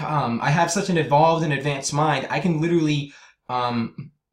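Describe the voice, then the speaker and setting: A man talks at a moderate pace in a fairly high, somewhat breathy voice. His intonation stays fairly even. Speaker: conspiracy video maker. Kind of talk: casual monologue. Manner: halting.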